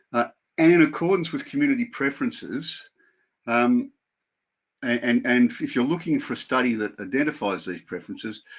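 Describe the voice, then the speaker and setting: A man speaks with a strong Australian accent. His pitch swings very widely. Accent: broad Australian. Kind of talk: webinar lecture. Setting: video call.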